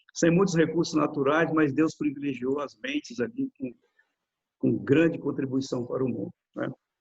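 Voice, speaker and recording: Ordinary pitch variation marks a somewhat breathy voice going at a moderate speed. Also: man, fairly high pitch for a man. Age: 60s. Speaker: lawyer and author, retired police officer. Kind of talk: interview. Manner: halting, with frequent fillers and repetitions.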